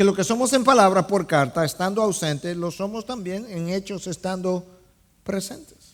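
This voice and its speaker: This man's voice sits at a high pitch, with ordinary pitch variation. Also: moderate pace. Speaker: pastor preaching a sermon. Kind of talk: sermon preaching to a congregation.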